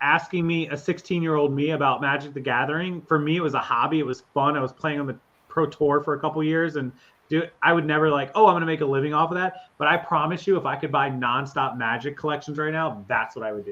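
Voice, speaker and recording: A man with an American accent talks at a very fast pace. His pitch sits fairly high and his intonation stays fairly even. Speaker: reseller. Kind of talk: casual chat.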